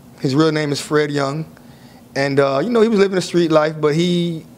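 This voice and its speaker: With an American accent, a man speaks at a moderate pace in a fairly high pitch, an ordinary speaking voice. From South Florida (Miami). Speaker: author, former prisoner. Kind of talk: interview.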